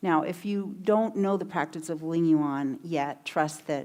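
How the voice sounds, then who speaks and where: At a moderate pace, a woman speaks with a very deep, low pitch and ordinary pitch variation. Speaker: meditation teacher. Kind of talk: lecture.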